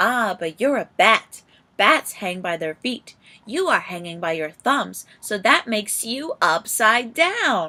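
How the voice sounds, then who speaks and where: A woman performs a put-on character voice, loud and fairly slow, pitched fairly high. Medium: read story.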